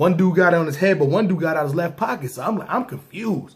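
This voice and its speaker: A man speaks in an American accent with a high pitch. His intonation is lively and his pace fairly quick. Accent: New York with slight country touch. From New York, Brooklyn. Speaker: storyteller, former gang member. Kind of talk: storytelling monologue. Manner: casual street slang.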